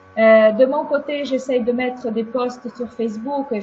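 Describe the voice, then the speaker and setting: A woman speaks in a high, flat monotone at a very slow pace over noticeable background noise. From Ukraine. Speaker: webinar speaker sharing her experience. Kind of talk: webinar talk and discussion.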